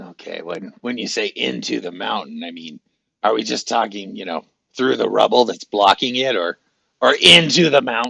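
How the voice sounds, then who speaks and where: At a moderate pace, the speaker puts on a raspy character voice. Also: man, medium pitch for a man. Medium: actual play. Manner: rambling, hesitant, chatty.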